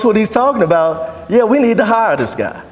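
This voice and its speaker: The intonation is lively. Noticeable background noise and audible room echo fill the recording. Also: man. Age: 60s. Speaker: DJ and entrepreneur. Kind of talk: presentation to a networking group.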